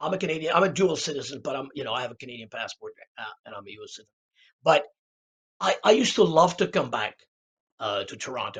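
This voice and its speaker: A man with a fairly high pitch talks at a very fast pace, his pitch swinging very widely and his loudness rising and falling sharply, with vocal fry and long, frequent pauses. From Czech Republic (Prague). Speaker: jazz musician. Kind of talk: podcast interview. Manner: halting, many repetitions and fillers.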